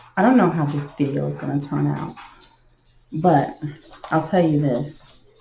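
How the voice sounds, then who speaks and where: A woman's very deep, low voice with ordinary pitch variation and long, frequent pauses, amid noticeable background noise and audible room echo. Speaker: beginner tarot reader. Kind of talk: tarot reading. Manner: slow.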